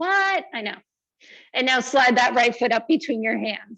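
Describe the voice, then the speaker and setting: Loud and high-pitched, a woman talks with lively intonation over a quiet background. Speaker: yoga teacher. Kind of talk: guided yoga class.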